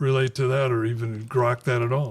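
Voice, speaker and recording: A man with an American accent talks at a fairly slow pace in a medium pitch, his voice somewhat breathy. His intonation is monotone and flat. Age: 80s+. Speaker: author and radio host. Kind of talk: author Q&A at bookstore. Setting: bookstore event with audience.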